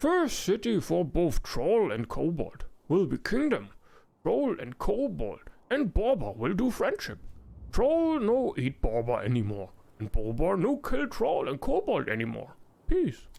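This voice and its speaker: Putting on a character voice, a man speaks at a fairly slow pace with a gravelly, high pitch. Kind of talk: video game voice acting. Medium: actual play. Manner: broken, simple speech.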